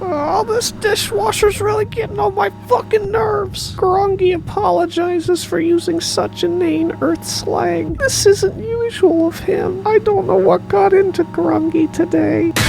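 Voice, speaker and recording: Delivered at a moderate pace, this cartoonish character voice sits over loud background noise. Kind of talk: comic cartoon voice. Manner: stilted, formal, refers to himself by name.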